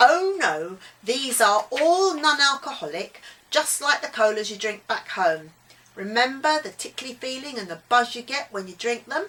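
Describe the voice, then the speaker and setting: A put-on character voice, drawling at a moderate pace, with very wide pitch swings and big swings in loudness. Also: woman, high pitch for a woman. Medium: read story.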